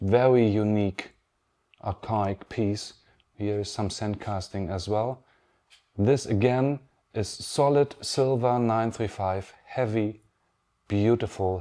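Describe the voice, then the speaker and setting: A man with a German accent and a fairly low pitch, at a very slow pace with long, frequent pauses and fairly even intonation. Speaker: pen artisan. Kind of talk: pre-recorded video message. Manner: halting.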